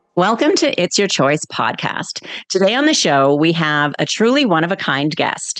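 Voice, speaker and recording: A woman speaks with a slight Canadian accent. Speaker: podcast host. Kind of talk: interview. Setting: podcast.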